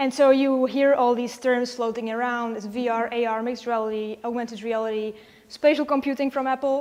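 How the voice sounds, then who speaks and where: A woman talks fairly quickly with a Czech accent. Her high pitch stays monotone and flat. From Czechia. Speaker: virtual reality designer. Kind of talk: conference talk.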